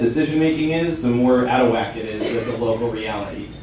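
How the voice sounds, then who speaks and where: With an American accent, a man speaks at a fairly quick pace and medium pitch with ordinary pitch variation, amid noticeable background noise and audible room echo. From New Mexico, US Southwest. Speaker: debate panelist for the protest side. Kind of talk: live debate on stage. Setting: theater stage with audience. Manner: halting, many restarts.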